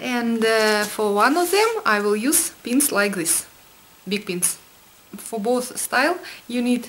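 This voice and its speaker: A woman with a Russian accent speaks at a very slow pace and a fairly high pitch, with lively intonation. Her speech has long, frequent pauses, and audible room echo surrounds it. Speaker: fashion vlogger. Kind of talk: tutorial. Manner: halting, with fillers.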